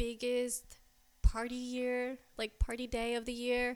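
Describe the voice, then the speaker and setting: A woman talks with an American accent. Her voice sits high in pitch. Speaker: restaurant manager. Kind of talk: casual chat.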